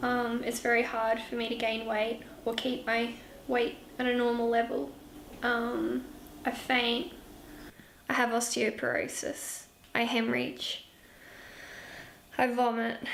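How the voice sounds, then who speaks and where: In a room with audible echo, a woman with an Australian accent speaks at a fairly slow pace with long, frequent pauses, fairly high pitch and fairly even intonation. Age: 20s. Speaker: nursing student. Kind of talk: documentary interview.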